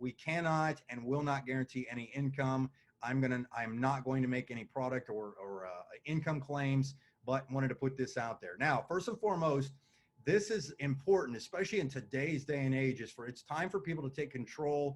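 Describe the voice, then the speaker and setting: A man speaks in a fairly high voice with ordinary pitch variation. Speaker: business opportunity presenter. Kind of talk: sales pitch. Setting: video call with screen share. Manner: fast.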